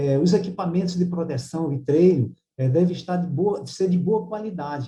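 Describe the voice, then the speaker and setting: This man's voice has a dark, mellow tone, a high pitch and ordinary pitch variation. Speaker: university professor giving a lecture. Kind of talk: lecture. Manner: fast; hesitant with many fillers.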